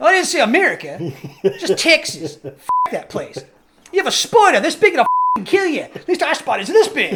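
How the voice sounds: A put-on character voice with an Australian accent speaks at an extremely high pitch and a fairly quick pace. Long, frequent pauses break it up, with sound effects in the background. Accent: Australian, bad imitation.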